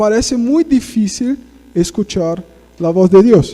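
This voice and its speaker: Speaking at a fairly slow pace, a man with a Portuguese accent uses a high pitch and lively intonation. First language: Portuguese (speaking Spanish). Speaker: guest preacher. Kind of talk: sermon. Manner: conversational, frequent tag questions.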